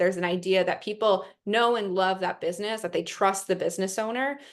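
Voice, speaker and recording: Against a quiet background, a woman talks at a medium pitch with ordinary pitch variation. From New York. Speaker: investment platform representative. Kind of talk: webinar presentation. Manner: fast.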